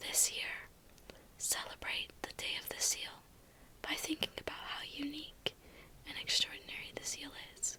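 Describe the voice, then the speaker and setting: A woman's whisper at a fairly slow pace, over noticeable background noise. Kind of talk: ASMR fun-facts narration to camera. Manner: soft, whispering.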